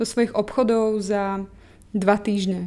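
Delivered at a moderate pace in a Slovak accent, the voice has a dark, mellow tone and monotone, flat intonation. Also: woman. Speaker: online magazine co-founder. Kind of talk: documentary interview.

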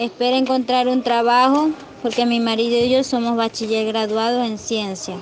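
With noticeable background noise behind her, a high-pitched woman speaks at a moderate pace in a monotone, flat way. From Venezuela. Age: 20s. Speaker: migrant. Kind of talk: testimony. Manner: halting.

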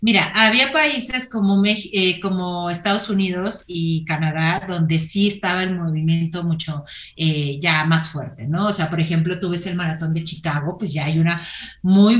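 This is an ordinary speaking voice with ordinary pitch variation at a moderate pace. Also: woman. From Mexico, Torreón, Coahuila. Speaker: entrepreneur and running platform founder. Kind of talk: interview.

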